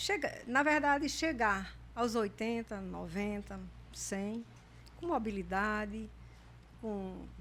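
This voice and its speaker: A woman speaks at a very slow pace with long, frequent pauses, and audible room echo surrounds her voice. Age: 70s. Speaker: retired pediatric intensive care doctor. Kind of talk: podcast interview.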